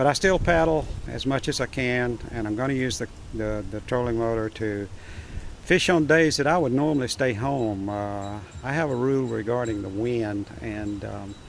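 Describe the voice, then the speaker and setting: Audible room echo surrounds a man speaking at a medium pitch and moderate pace with ordinary pitch variation. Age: 70s. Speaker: kayak fishing video creator. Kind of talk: tutorial. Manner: halting, many fillers.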